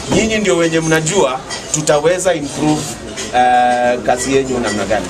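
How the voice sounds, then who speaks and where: A man at a moderate pace over clear music in the background. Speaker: campaign politician. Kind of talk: campaign address to a crowd. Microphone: phone near.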